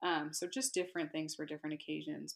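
A woman's fairly low voice with vocal fry, in an American accent. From California. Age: 20s. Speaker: horsewoman. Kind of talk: casual chat.

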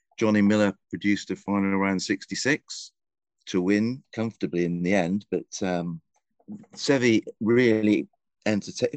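Against a quiet background, a man with an English accent speaks at a moderate pace with a fairly low pitch and ordinary pitch variation. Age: 60s. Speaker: golf writer and columnist. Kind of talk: casual interview chat. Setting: remote call from a golf club back room.

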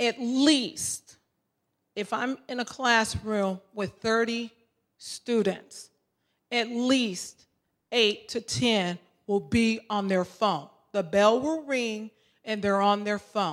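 On a very clean recording with a silent background, a woman speaks very slowly with long, frequent pauses and ordinary pitch variation. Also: fairly high pitch for a woman. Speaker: substitute teacher, audience member. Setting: audience Q and A.

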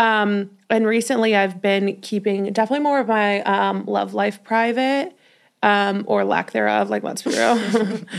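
A woman with a normal speaking voice talks at a fairly slow pace, medium in pitch, with fairly even intonation. The recording is very clean, with a silent background. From Colorado, Denver. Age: 20s. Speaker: podcast host and curve model. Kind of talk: casual chat.

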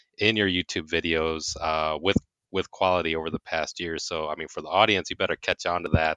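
A man with a very deep, low pitch and a bright, sharp tone talks at a fairly quick pace. The sound is dry and close with no echo, in a very clean recording with a silent background. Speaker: podcast host. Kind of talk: interview chat. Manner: animated, enthusiastic.

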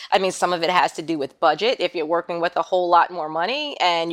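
A plain, everyday voice from a woman, fairly low in pitch and fairly quick, with a dry, close sound with no echo and a very clean recording with a silent background. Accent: American. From New York City (Queens). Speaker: content creator. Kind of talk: interview.

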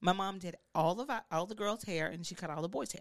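A woman's medium-pitched voice with a Southern US accent at a very fast pace. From Mississippi. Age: 40s. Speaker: celebrity hairstylist. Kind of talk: casual interview. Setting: studio.

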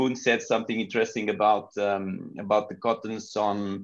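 A man talks at a fairly quick pace in a Portuguese accent, his pitch medium. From Portugal. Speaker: pro cycling team sports manager. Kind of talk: interview.

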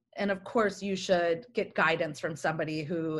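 With an American accent, a woman of medium pitch sounds enthusiastic and somewhat breathy, speaking at a moderate pace against a quiet background. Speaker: communications executive. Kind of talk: interview.

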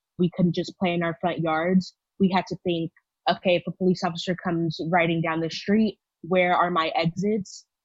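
With an American accent, a woman speaks at a moderate pace in a fairly low, somewhat breathy voice with monotone, flat intonation. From Texas, Houston. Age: 20s. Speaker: university student. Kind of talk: personal testimony.

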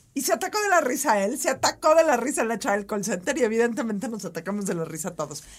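Talking at a very fast pace with hardly any pauses, a woman with a Mexican accent makes very wide pitch swings. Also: fairly high pitch for a woman. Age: 40s. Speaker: podcast co-host. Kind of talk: casual chat. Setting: studio.

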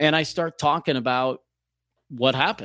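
A man has a plain, everyday voice at a medium pitch, with fairly even intonation at a moderate pace. The sound is dry and close with no echo, on a very clean recording with a silent background. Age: 40s. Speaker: former radio DJ. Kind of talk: casual interview conversation. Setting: studio.

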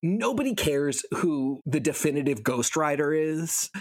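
This is a man with a plain, everyday voice. His pitch varies in an ordinary way. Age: 30s. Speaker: podcast co-host. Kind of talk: casual chat.

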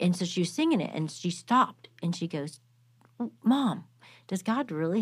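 A woman has a plain, everyday voice, pitched fairly low, with lively intonation. She moves at a moderate pace on a very clean recording with a silent background. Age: 50s. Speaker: nonprofit co-founder and author. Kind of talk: casual chat.

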